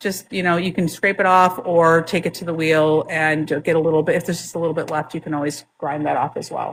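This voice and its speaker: A woman with a fairly low pitch speaks at a fairly quick pace with hardly any pauses and monotone, flat intonation on a very clean recording with a silent background. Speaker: product demonstrator for a lapidary equipment company. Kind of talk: product demonstration in a live chat. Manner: loud.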